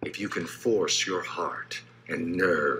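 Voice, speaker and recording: A man speaks at a very slow pace. There is light background noise. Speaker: voice actor. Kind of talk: poetry reading. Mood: solemn, measured delivery. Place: home room. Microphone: phone near.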